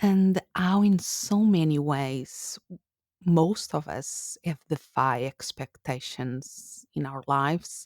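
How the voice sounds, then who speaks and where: In a very clean recording with a silent background and a dry, close sound with no echo, a woman speaks at a very slow pace with a very deep, low pitch and lively intonation. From Portugal. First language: Portuguese. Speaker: podcast host. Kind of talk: solo podcast monologue.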